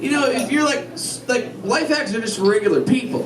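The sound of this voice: A man at an extremely high pitch with lively intonation, over clear background noise that includes audible crowd noise.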